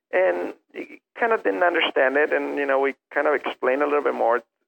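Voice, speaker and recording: A man speaks with a Spanish accent at a moderate pace. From Mexico, Jalisco. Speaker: furniture company founder. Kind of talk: interview. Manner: halting, many repetitions.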